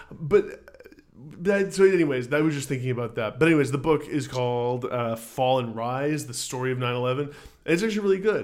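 A fairly high-pitched man speaks at a fairly quick pace in a normal speaking voice, his intonation lively. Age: 20s. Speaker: music podcast co-host. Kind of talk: casual chat.

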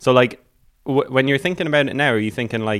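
A man with an Irish accent speaks with ordinary pitch variation. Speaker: podcast host. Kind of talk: podcast hosting and interview. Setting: video call.

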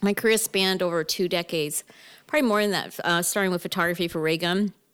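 A woman speaks at a very fast pace with fairly even intonation. The recording is very clean, with a silent background. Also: very even loudness. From Canada, Toronto area (Mississauga). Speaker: cannabis business consultant. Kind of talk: casual interview.

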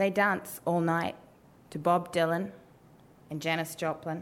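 In a New Zealand accent, a woman with a fairly low pitch speaks at a fairly slow pace with fairly even intonation. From New Zealand, Wellington. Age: 20s. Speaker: storyteller, writer and policy advisor. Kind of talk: live storytelling. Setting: stage with audience.

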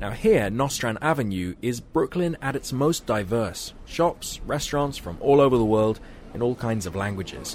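At medium pitch and a moderate pace, a man speaks in a plain, everyday voice with lively intonation. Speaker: radio reporter. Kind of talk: scripted radio feature narration. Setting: outdoors on location in New York.

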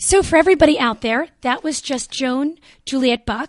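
A woman speaks with ordinary pitch variation. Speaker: radio host. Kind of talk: radio interview. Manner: upbeat, enthusiastic.

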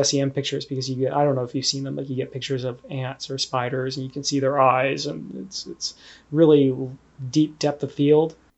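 This man has an ordinary speaking voice, pitched fairly high, with a Canadian accent. He talks at a fairly quick pace. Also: big swings in loudness. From Canada, Ontario. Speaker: analytical chemist. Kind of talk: interview.

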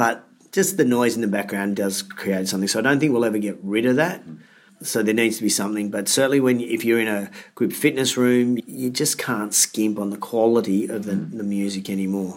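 Here a man speaks with an Australian accent at a medium pitch. His pace is fairly quick, with ordinary pitch variation. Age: 40s. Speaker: fitness business coach and speaker. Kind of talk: interview.

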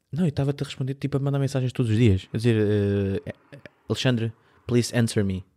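With a European Portuguese accent, a man talks at a very fast pace in a medium pitch, his tone dark and mellow and his pitch variation ordinary. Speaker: podcast co-host. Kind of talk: casual chat.

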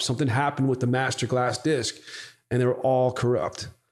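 With an ordinary speaking voice, a man talks fairly quickly at a medium pitch. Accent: American. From Boston area, US. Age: 30s. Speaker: music software entrepreneur. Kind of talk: casual interview chat.

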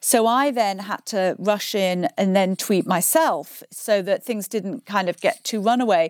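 A normal speaking voice from a woman at medium pitch, fairly slow with hardly any pauses, ordinary pitch variation, and a dry, close sound with no echo on a very clean recording with a silent background. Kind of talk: interview, casual chat.

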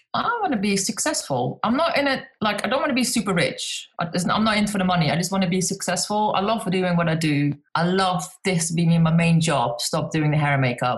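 With a Dutch accent, a woman speaks at a fairly quick pace and medium pitch, with lively intonation, hardly any pauses and very even loudness. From Netherlands. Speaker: craft book author and DIY content creator. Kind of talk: casual interview chat.

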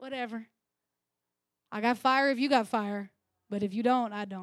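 Speaking at a fairly slow pace, a woman uses an animated tone in a fairly high voice. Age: 30s. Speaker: preacher. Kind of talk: sermon. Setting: church.

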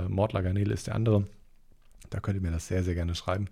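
Somewhat breathy, a man talks very fast in a dark, mellow tone. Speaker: podcast host and online shop owner. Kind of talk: casual solo podcast monologue. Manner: casual, slangy.

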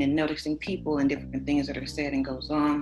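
A woman with an American accent, very deep and low-pitched, at a fairly quick pace over noticeable background noise. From Los Angeles, California. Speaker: community organizer. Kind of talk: casual chat.

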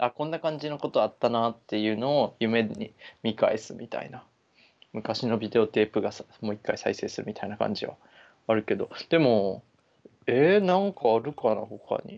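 A normal speaking voice at a moderate pace, with lively intonation and big swings in loudness against a quiet background. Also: man, medium pitch for a man. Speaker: podcast co-host. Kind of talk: casual chat.

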